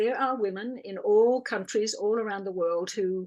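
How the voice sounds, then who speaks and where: Speaking in an Australian accent, a woman keeps a medium pitch with ordinary pitch variation. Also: quiet background. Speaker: birth educator and doula. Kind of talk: interview.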